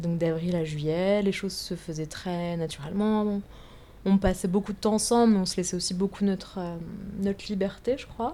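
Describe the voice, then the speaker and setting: A woman speaks at a moderate pace with a medium pitch. Her tone is dark and mellow, and her intonation stays fairly even. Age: 20s. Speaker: works in contemporary art. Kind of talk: interview conversation. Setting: at her home on a sofa.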